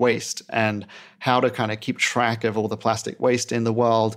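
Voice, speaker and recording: With music in the background, a man speaks with fairly even intonation. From UK and Australia. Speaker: indoor farm founder and CEO. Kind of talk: casual interview. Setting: remote recording.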